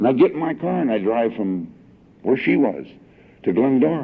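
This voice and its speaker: A man is speaking. His pitch swings very widely. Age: 60s. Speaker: recovering alcoholic speaker. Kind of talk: recovery meeting talk. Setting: convention stage with audience. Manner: animated.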